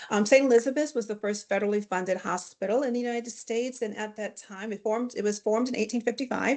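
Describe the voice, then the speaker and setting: A woman's fairly high voice over a quiet background. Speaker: hospital chaplain. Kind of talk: webinar presentation. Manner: fast.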